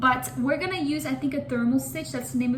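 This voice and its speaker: The tone is animated, with audible room echo. Background noise is noticeable. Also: woman. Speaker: crochet content creator. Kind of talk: casual tutorial vlog. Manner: fast.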